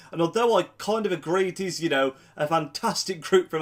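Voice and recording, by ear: A man talks at a fairly quick pace in a nasal, fairly bright tone with ordinary pitch variation.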